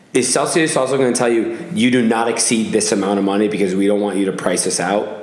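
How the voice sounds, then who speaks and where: Speaking at a fairly quick pace with an American accent, a man with a fairly low pitch and ordinary pitch variation is heard over noticeable background noise and audible room echo. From Massachusetts. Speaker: podcast host. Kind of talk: casual chat.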